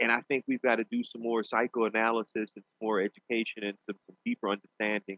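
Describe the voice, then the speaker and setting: In a New Orleans accent, a man talks at a very fast pace with monotone, flat intonation and medium pitch. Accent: Southern US, New Orleans. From US South, New Orleans. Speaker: pastor and law professor. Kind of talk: interview. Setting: studio.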